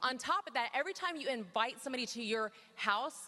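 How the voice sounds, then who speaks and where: A woman speaks in a raised, projected voice with a high pitch. Her tone is energetic, with ordinary pitch variation. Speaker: network marketing team leader. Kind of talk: motivational talk on stage. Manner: fast.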